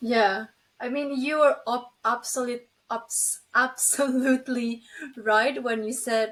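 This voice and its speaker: In an Indonesian accent, a woman speaks at a very slow pace. Her voice is high-pitched. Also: fairly even intonation. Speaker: LinkedIn writer, former journalism student. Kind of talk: interview.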